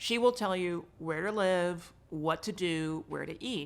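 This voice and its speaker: Ordinary pitch variation marks a woman's medium-pitched voice with an American accent. The recording is very clean, with a silent background. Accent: lacks a New York. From New York City, Manhattan. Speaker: real estate agent. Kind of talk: casual interview. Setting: in person at a conference.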